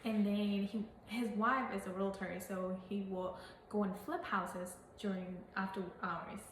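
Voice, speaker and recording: A woman with a Burmese accent speaks at a medium pitch and a fairly slow pace, with fairly even intonation. Noticeable background noise and audible room echo are present. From Burma. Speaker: real estate agent. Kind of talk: casual interview. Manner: halting.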